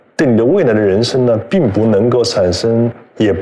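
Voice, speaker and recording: Over noticeable background noise and audible room echo, a man talks at a fairly slow pace with lively intonation. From China, Hubei (Yichang). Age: 50s. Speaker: magazine editor-in-chief. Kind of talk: live-streamed conversation. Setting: online livestream, seated beside host.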